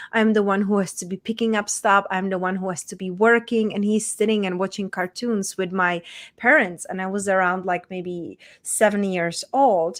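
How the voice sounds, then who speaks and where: In a Czech accent, a woman of medium pitch speaks at a moderate pace with fairly even intonation on a very clean recording with a silent background. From Czech Republic, small town. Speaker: women's transformation coach. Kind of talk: interview, personal story.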